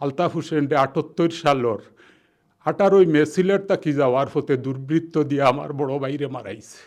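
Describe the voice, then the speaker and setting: A man with a Sylheti accent, fairly high in pitch, with ordinary pitch variation and a quiet background. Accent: Sylheti Bengali. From Sylhet, Bangladesh (Beanibazar). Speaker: journalist. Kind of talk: personal testimony interview.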